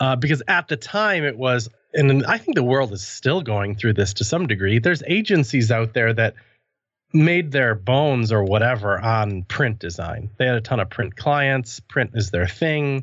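A man with an American accent talks at a moderate pace in a medium pitch, using an unremarkable speaking voice. His intonation is lively. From US Midwest (near Madison, Wisconsin). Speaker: web developer and podcaster. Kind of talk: casual interview.

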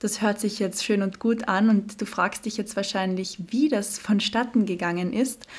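Somewhat breathy and fairly even in intonation, a woman speaks fairly slowly at a medium pitch with hardly any pauses. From Austria, Carinthia (Klagenfurt). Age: 20s. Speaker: fashion model and podcast host. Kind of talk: solo podcast monologue.

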